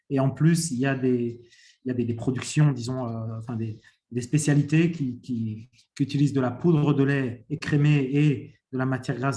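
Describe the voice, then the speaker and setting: With a dark, mellow tone and a somewhat breathy quality, a man speaks at medium pitch using fairly even intonation. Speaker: private sector panelist on dairy. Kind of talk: panel discussion answer. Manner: halting, many fillers.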